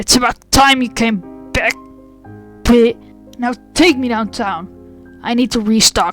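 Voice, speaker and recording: A gruff, put-on character voice with fairly high pitch is raised and projected, moving at a fairly slow pace with long, frequent pauses over faint background music. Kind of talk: creepypasta narration. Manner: gruff, aggressive.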